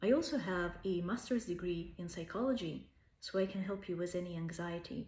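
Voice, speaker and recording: A woman speaks at a moderate pace in a Russian accent, her voice somewhat breathy with ordinary pitch variation. The room echo is audible. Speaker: language tutor. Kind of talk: self-promotional pitch.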